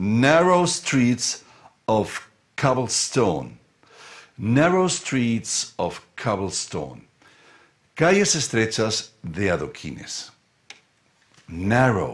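At a very slow pace with long, frequent pauses, a man of medium pitch speaks with very wide pitch swings. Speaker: English teacher. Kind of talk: live-streamed lesson.

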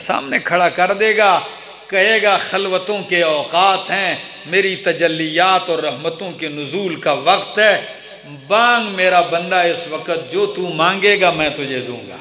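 A man's high pitch at a fairly slow pace, with audible room echo and light background noise. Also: ordinary pitch variation. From Pakistan. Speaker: Islamic preacher. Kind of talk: sermon. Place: hall.

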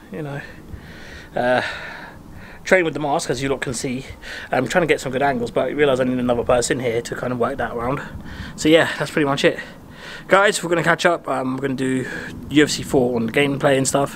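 The man's intonation stays fairly even as he moves at a fairly quick pace. Light background noise sits underneath. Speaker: fitness vlogger. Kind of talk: casual vlog chat. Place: garden. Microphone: phone near.

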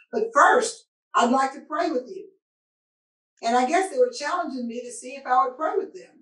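A woman speaks at a moderate pace in a high voice, her pitch swinging very widely and her loudness rising and falling sharply. She leaves long, frequent pauses, with a quiet background and audible room echo. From Arkansas (Searcy); Arkansas. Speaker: physician; panelist. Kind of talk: panel discussion. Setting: video call. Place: office.

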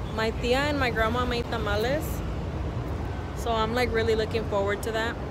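A woman with an American accent talks at a moderate pace. The sound is dry with no echo, and loud background noise fills the recording. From Texas, USA. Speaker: vlogger. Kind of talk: casual vlog talk to camera. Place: street. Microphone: phone near.

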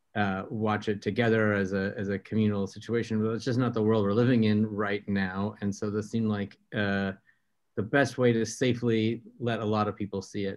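A man's fairly low voice at a moderate pace, monotone and flat, against a quiet background. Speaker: panelist. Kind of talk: interview answer. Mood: warm, occasional laughter. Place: home room. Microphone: video call.

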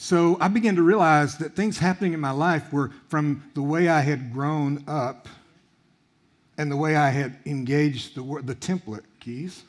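Speaking at a fairly slow pace, a man with a fairly high pitch uses ordinary pitch variation against a quiet background. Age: 60s. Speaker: guest preacher. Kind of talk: sermon. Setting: church. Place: church. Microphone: headset.

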